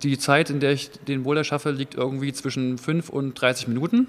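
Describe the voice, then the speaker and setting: Monotone, flat intonation from a man at a fairly high pitch. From eastern Germany, Jena. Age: 30s. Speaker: competitive boulderer. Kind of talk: interview.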